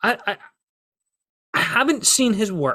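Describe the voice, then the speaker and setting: A man with a Scottish accent speaks at a moderate pace in a bright, sharp tone with ordinary pitch variation. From Scotland. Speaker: wrestling podcast host. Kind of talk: solo podcast commentary.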